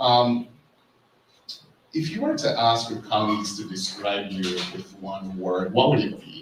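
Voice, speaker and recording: At a fairly slow pace, the words come with noticeable background noise in the recording. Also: man. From Jamaica. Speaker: sleep researcher, moderator. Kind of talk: panel interview.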